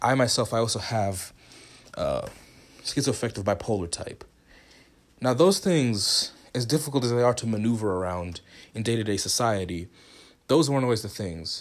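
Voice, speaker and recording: Long, frequent pauses break up speech that has an animated tone and lively intonation. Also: man, medium pitch for a man. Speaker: podcast host. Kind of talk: casual solo podcast intro. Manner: fast talker, excitable; animated, laughs often, casual.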